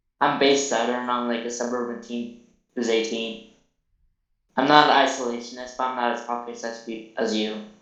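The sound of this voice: In a put-on, robotic character voice, a man speaks at medium pitch with monotone, flat intonation. His pace is fairly quick, and there is a slight echo.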